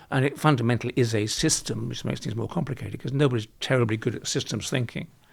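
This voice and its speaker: Speaking at a very fast pace, a man uses a medium pitch with ordinary pitch variation and some vocal fry. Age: 70s. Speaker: construction industry expert. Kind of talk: interview. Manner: halting.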